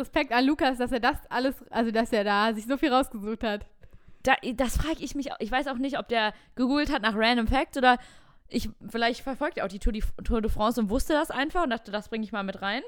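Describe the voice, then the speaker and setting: On a very clean recording with a silent background, the speech moves at a fairly quick pace with ordinary pitch variation. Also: woman, high pitch for a woman. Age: 20s. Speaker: podcast co-host. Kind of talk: casual chat.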